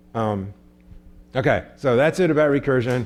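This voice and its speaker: A man talks at a moderate pace and medium pitch with lively intonation. He has an ordinary speaking voice. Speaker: computer science professor. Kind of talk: lecture.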